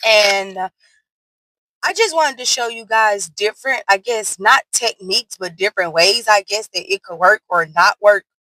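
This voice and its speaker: A woman speaks loudly in a bright, sharp tone. The sound is dry and close, with no echo. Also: medium pitch for a woman, ordinary pitch variation, moderate pace. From US South. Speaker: nail art content creator. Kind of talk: tutorial. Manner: casual, chatty.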